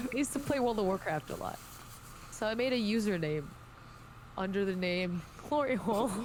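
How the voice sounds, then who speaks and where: With audible room echo and noticeable background noise, a woman talks at a fairly quick pace in a medium pitch, her intonation lively and broken by long, frequent pauses. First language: not English. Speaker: podcast guest, gaming streamer. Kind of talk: casual chat.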